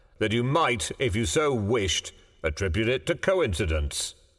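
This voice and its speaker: A man does a put-on character voice at medium pitch with very wide pitch swings, very even loudness and a moderate pace, in a very clean recording with a silent background. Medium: read story. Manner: slow, plain-spoken.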